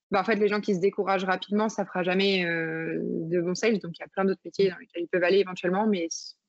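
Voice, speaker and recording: This woman talks at a very fast pace. Her medium pitch stays monotone and flat. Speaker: startup founder. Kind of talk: interview.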